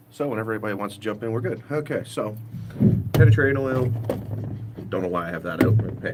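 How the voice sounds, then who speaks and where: A man at a fairly quick pace with ordinary pitch variation, amid loud background noise. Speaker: car DIY vlogger. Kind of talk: casual live-stream chat while working on a car. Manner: loud, voice carries. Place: street. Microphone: phone near.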